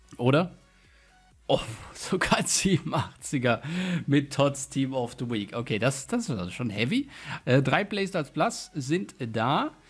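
Music plays in the background as the voice moves very slowly, with very wide pitch swings and long, frequent pauses. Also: man, fairly high pitch for a man. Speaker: gaming YouTuber. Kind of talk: gameplay commentary with pack openings. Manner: animated.

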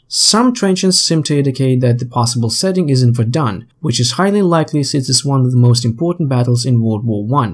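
A somewhat breathy man at a medium pitch talks at a fairly quick pace with hardly any pauses and lively intonation, on a very clean recording with a silent background. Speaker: gaming YouTuber. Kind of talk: scripted narration.

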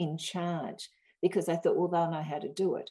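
Speaking in an Australian accent, a woman has a dark, mellow tone and a fairly low pitch. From Australia, rural Victoria. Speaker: historian and author. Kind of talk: interview. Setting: podcast interview.

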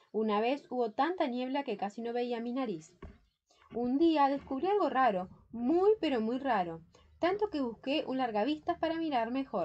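A woman speaks at a fairly slow pace in a high voice with a gentle, warm tone and very wide pitch swings. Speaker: audiobook narrator. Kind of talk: bedtime story reading aloud, children's tale. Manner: gentle, warm, storytelling.

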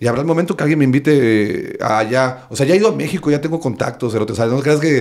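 Delivered at a very fast pace with hardly any pauses, the speech carries lively intonation in a Veracruz Mexican accent. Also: man, fairly high pitch for a man. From Veracruz, Mexico. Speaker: stand-up comedian. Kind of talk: casual chat. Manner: animated. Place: home room. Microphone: studio mic.

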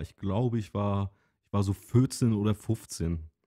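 A man talks at a very slow pace in a fairly low voice with a dark, mellow tone. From Rügen, northeastern Germany. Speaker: podcast co-host. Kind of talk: casual chat.

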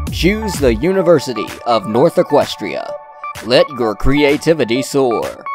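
A man takes a fairly slow pace while music sounds in the background. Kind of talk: TV commercial read.

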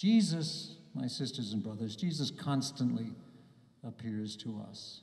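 In a quiet room with audible echo, a man with an American accent speaks at a fairly slow pace, somewhat breathy, with lively intonation. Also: big swings in loudness. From US, New Jersey. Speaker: bishop. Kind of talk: homily at Mass to young people, warm and reflective. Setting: church, Mass with a youth audience. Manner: earnest, personal, gently paced with small hesitations; warm and encouraging, building to a rousing close. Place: church. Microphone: podium.

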